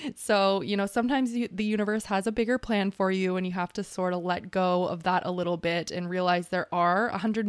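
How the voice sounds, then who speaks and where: Pitched at a medium level, a woman speaks at a very fast pace with hardly any pauses. Her intonation stays fairly even. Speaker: podcast host. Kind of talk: casual interview; solo episode recap.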